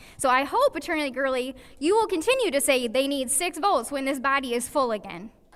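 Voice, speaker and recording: A woman speaks in a raised, projected voice with a high pitch. Her tone is bright and sharp, and her pitch swings very widely. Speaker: public commenter at city council meeting. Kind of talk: public comment speech. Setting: city council meeting. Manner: fast.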